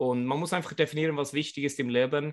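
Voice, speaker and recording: A man with a Swedish accent speaks against a quiet background. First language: Swedish (speaking German). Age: 40s. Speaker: floorball coach. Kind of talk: interview.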